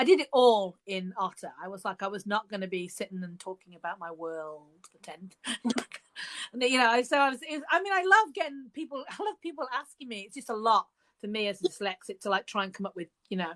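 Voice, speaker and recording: In a dry, close sound with no echo, a woman with a Birmingham accent talks at a fairly quick pace and fairly high pitch, with very wide pitch swings and big swings in loudness. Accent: Birmingham (Brummie). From England, Birmingham. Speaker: author. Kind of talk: casual chat. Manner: halting.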